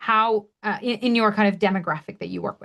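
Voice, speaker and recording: A woman's fairly high-pitched, animated voice against a quiet background. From Canada. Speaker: webinar trainer. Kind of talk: webinar tutorial.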